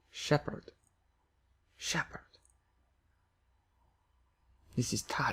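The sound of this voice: A man puts on a raspy character voice with a non-native accent, speaking at a fairly slow pace with long, frequent pauses. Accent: put-on foreign.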